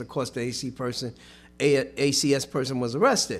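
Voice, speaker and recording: An unremarkable speaking voice moves at a fairly quick pace in a very clean recording with a silent background. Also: man. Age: 60s. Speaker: union representative. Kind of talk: casual chat.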